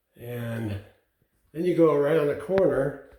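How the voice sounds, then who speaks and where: A man speaks at a fairly high pitch, somewhat breathy, with a dark, mellow tone. His pace is fairly slow and his pitch variation is ordinary. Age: 70s. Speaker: DIY home builder. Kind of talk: house tour. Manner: casual, conversational.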